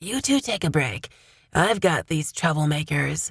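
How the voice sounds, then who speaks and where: A woman puts on a character voice, raspy, gruff and strained, at a very deep, low pitch with very wide pitch swings. She keeps a moderate pace. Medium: read story.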